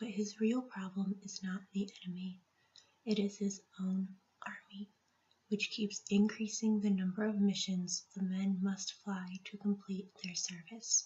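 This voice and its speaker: Somewhat breathy and flat, a woman talks in a monotone at a fairly slow pace with a medium pitch. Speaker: teacher (roleplay). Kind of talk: ASMR roleplay, soft-spoken personal attention. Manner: soft-spoken, quiet.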